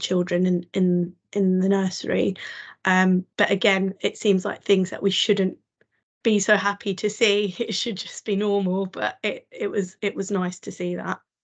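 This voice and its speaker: A woman at medium pitch, moderate pace and monotone, flat intonation against a quiet background. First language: a home language other than English. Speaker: diversity and inclusion specialist. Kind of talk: panel conversation. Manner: hesitant, many ums.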